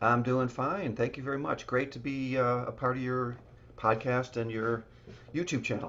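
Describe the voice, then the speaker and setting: With a slight Chicago accent, a man talks at a moderate pace and medium pitch with fairly even intonation. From US Midwest, Chicago. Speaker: real estate developer. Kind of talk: podcast interview. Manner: halting, many fillers.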